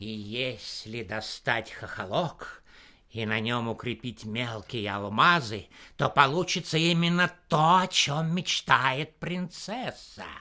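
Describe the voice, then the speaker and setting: Using a put-on character voice, a man speaks at a medium pitch and fairly slow pace, with lively intonation and big swings in loudness. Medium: read story.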